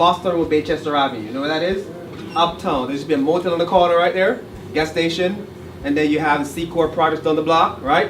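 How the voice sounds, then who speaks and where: A man with a Jamaican accent speaks at a very fast pace and a high pitch, with ordinary pitch variation. Noticeable background noise is audible. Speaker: college director. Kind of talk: public speech.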